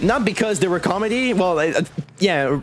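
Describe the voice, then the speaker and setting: Someone speaks with a Quebec accent over noticeable background noise. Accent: French Canadian accent in English. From Quebec, Canada. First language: French. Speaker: streamer. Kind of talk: casual chat.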